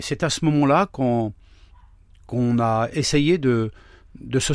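A man's medium-pitched voice at a very slow pace with ordinary pitch variation, on a very clean recording with a silent background. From France, Laon (Aisne), Traveller community. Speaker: pastor. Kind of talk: testimony. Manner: halting.

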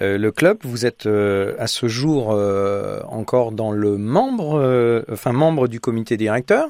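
The recording is very clean, with a silent background. A man with a medium pitch talks at a very slow pace with ordinary pitch variation. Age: 50s. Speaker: radio host. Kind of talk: radio interview. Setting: studio.

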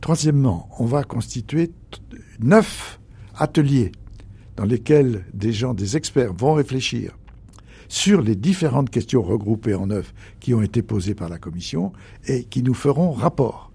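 On a very clean recording with a silent background, a man with a medium pitch speaks at a very slow pace with long, frequent pauses, his tone dark and mellow, somewhat breathy, with lively intonation. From rural France. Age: 80s+. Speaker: retired archbishop and theologian. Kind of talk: radio interview. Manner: halting.

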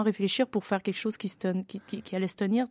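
The recording is very clean, with a silent background and a dry, close sound with no echo. A woman speaks at a medium pitch in a dark, mellow tone. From Quebec. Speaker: opera singer. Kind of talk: interview.

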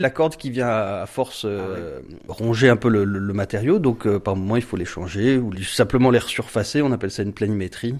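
With hardly any pauses, a normal speaking voice moves at a moderate pace with lively intonation. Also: man, fairly low pitch for a man. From Marseille, southern France. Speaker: luthier and bass player. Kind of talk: radio interview.

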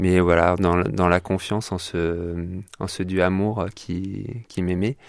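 Very slowly, a man speaks in a very deep, low voice with fairly even intonation. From France, Limousin and Orléans. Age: 30s. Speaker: former engineer sharing his faith journey. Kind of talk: radio interview testimony. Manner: hesitant, frequent fillers.

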